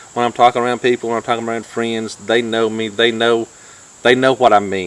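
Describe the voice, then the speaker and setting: A man talks at a fairly quick pace with a North Georgia accent. His medium-pitched voice stays monotone and flat. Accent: North Georgia country. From US South, North Georgia. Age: 50s. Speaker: YouTube vlogger. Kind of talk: casual chat.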